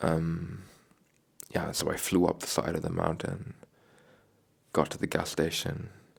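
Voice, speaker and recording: Very deep and low, a man's voice holds fairly even intonation. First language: not English. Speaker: travel vlogger on a bike trip. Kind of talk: casual monologue vlog. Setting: hotel room. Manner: halting, many fillers.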